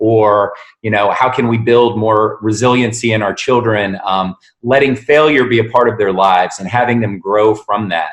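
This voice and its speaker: A man with an American accent and a normal speaking voice talks at a moderate pace. His pitch is fairly low and his intonation fairly even. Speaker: sales consultant and voice narrator. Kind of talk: interview answer.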